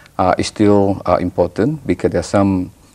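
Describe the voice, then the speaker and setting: A man with a Malaysian accent speaks at a moderate pace in a very deep, low pitch, his dark, mellow tone paired with fairly even intonation. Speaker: professor. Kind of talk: TV interview. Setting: TV studio. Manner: halting, many fillers and repetitions.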